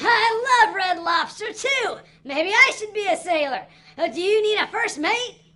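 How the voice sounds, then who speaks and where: Delivered at a moderate pace, the cartoonish character voice sits at an extremely high pitch. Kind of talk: children's puppet show.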